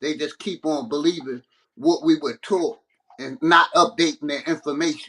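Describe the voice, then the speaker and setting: A man's bright, sharp, fairly high voice at a moderate pace with ordinary pitch variation, dry and close with no echo. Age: 50s. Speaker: panel caller in livestream debate. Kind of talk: heated debate. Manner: halting.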